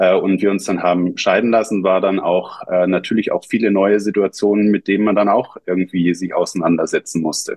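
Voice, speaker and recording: This is a man speaking. His pitch is fairly low. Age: 40s. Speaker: app founder and father. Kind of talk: interview. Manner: hesitant, many fillers.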